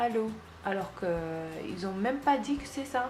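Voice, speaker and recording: A woman with a non-native accent speaks at a medium pitch. Music plays in the background and the room echo is audible. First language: not French (speaking French). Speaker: beauty and shopping vlogger. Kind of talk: product haul video. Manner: hesitant, many fillers.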